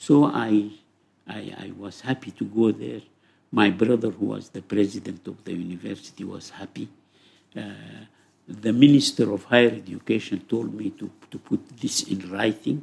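A man at a moderate pace, fairly low-pitched with vocal fry, ordinary pitch variation and big swings in loudness. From Sudan. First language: Arabic. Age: 80s+. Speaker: psychology professor. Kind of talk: interview. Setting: in person.

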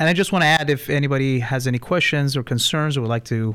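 Ordinary pitch variation marks this man's fairly quick speech. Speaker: pharmacist. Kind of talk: radio interview. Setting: radio studio. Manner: hesitant, many fillers.

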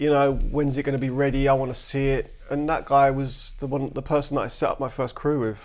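Speaking in a London accent at a fairly quick pace, a man keeps a fairly high pitch with monotone, flat intonation. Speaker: graffiti artist. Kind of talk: casual chat. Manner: matter-of-fact.

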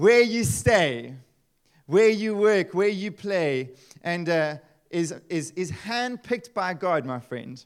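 A man with a high pitch speaks at a fairly slow pace, his tone animated and his intonation lively. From South Africa, Eastern Cape. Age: 30s. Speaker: pastor. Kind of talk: sermon. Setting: church.

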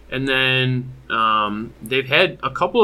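Here is a man with an American accent and a bright, sharp tone. His pitch varies in an ordinary way. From Michigan, US. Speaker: competitive card game player. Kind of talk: casual chat.

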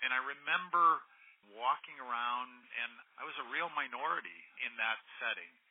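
With long, frequent pauses, a man at medium pitch speaks at a moderate pace with ordinary pitch variation. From US Midwest, Iowa. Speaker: HR executive. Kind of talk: interview. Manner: halting.

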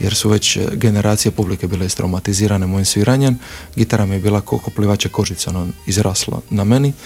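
Over noticeable background noise, a man with a fairly low pitch talks at a very fast pace with ordinary pitch variation. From Croatia, Split (Dalmatia). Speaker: actor and theatre director. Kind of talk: interview.

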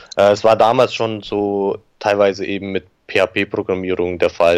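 A man speaks in a normal speaking voice at a fairly slow pace. His pitch is fairly low. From Germany, Augsburg (Bavarian Swabia). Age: 30s. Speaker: digital agency owner. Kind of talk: interview. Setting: remote call.

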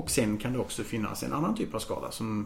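Background noise is clearly audible throughout. Over it, a male speaker delivers his words fairly quickly. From Austria (Vienna) until 7, then Karlstad, Sweden. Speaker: law lecturer. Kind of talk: casual chat. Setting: home, on a sofa.

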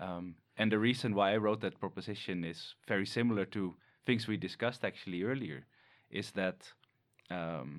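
The recording is very clean, with a silent background. A man with a Dutch accent speaks at a fairly low pitch with ordinary pitch variation. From Netherlands. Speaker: animal ecologist researcher.

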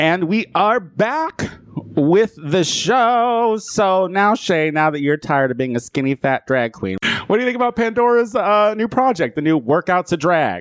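Speaking at a fairly slow pace, a man with a high voice sounds animated, his pitch swinging very widely. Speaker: podcast host. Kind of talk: casual banter, comedic chat show. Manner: bawdy, animated, joking.

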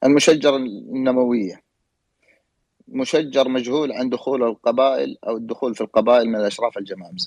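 A man speaks at a moderate pace in an ordinary speaking voice, medium in pitch with ordinary variation. The sound is dry and close, with no echo. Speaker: historian and genealogist. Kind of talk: panel discussion. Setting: online audio room.

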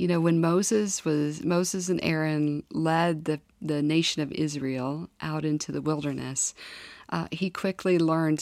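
A woman's very deep, low voice with a Midwestern US accent, fairly even intonation and a fairly slow pace. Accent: US Midwest. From Kansas. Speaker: former government staffer, church member. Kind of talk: interview testimony.

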